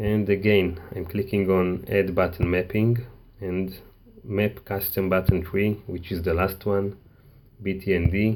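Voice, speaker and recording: A man with a very deep, low pitch and a non-native accent, fairly slow and flat in monotone. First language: not English. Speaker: tech tutorial maker. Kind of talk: tutorial. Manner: halting.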